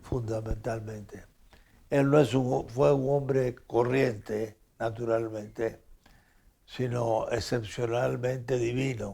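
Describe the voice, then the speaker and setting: Speaking very slowly, a man holds a medium pitch with fairly even intonation. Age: 90s. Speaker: philosopher and author. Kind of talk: interview. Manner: halting.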